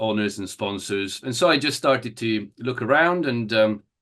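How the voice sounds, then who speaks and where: A fairly low-pitched man with an Italian accent, speaking at a fairly slow pace against a quiet background. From Italy (Turin). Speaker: event rider. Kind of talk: interview. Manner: halting, many fillers.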